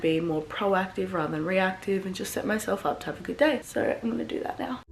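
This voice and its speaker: Over noticeable background noise, a woman speaks in an Australian accent with ordinary pitch variation. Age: 20s. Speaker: online fitness coach and vlogger. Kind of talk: casual vlog talk. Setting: at home. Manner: quiet.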